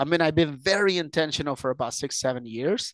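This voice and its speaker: The intonation is lively and the pace moderate. The sound is dry and close with no echo, over a quiet background. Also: man. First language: not English. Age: 30s. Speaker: entrepreneur and investor. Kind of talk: podcast interview. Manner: hesitant, many fillers and repeats.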